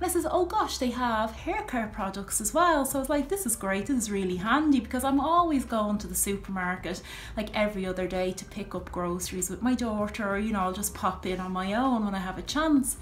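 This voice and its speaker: In an Irish accent, a woman with a fairly high pitch speaks at a fairly quick pace with lively intonation and hardly any pauses, over noticeable background noise and audible room echo. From Ireland. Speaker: video blogger. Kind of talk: casual monologue to camera. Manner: chatty, full of fillers.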